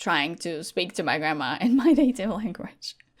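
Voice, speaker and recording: With a Latvian accent, a woman talks at a moderate pace using lively intonation. The recording is very clean, with a silent background. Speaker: gaming content creator. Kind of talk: casual chat.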